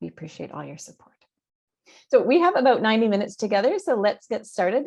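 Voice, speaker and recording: A woman speaks with a Canadian accent and vocal fry. The background is quiet. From Canada. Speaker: university communications executive, interviewer. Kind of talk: interview hosting. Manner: hesitant, many fillers.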